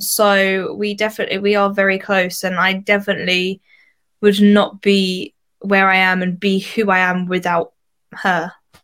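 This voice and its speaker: Against a silent background in a very clean recording, a woman with an Essex accent speaks at medium pitch in a monotone, flat intonation. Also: moderate pace. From Essex, England. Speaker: singer. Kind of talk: casual interview chat.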